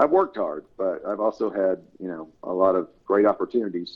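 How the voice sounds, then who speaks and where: Fairly quick and fairly low, a man's voice keeps a fairly even intonation. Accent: Tennessee. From US South, Tennessee. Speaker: author and editor. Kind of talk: casual interview.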